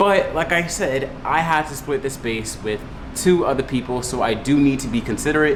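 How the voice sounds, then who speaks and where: Amid noticeable background noise and audible room echo, a man talks in an American accent. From Brooklyn, New York City. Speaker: lifestyle YouTuber. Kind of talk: vlog narration. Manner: loud; animated.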